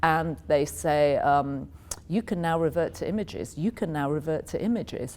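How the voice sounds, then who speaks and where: This woman has a very deep, low pitch and vocal fry, speaking at a moderate pace in an American accent. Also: ordinary pitch variation. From England, Yorkshire. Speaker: media executive. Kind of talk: interview.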